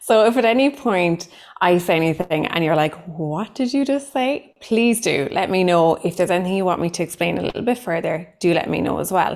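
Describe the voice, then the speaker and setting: A woman with a strong Cork accent speaks at a fairly quick pace with hardly any pauses. Her medium-pitched voice has lively intonation. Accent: thick Cork. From Ireland, Cork. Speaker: psychotherapist giving a training. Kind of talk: online training workshop.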